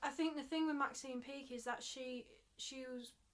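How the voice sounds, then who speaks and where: In a Mancunian accent, a woman talks at a high pitch with ordinary pitch variation. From Manchester, England. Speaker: theatre director and actor. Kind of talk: casual podcast chat.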